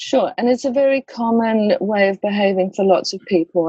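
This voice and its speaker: A plain, everyday voice from a woman, medium-pitched, with ordinary pitch variation and a moderate pace, in a dry, close sound with no echo. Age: 60s. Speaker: death doula and educator. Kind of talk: podcast interview.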